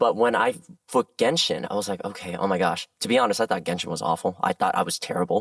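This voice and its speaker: A man's animated, very fast speech with a dry, close sound and no echo. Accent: American. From Southern California. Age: 30s. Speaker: voice actor. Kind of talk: interview chat.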